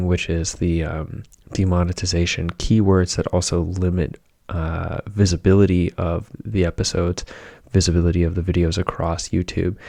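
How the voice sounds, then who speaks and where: A soft-spoken man with a very deep voice and a dark, mellow, calm tone talks at a moderate pace. His intonation is monotone and flat, on a very clean recording with a silent background. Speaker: podcast host. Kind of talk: casual talk to camera. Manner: soft-spoken, calm.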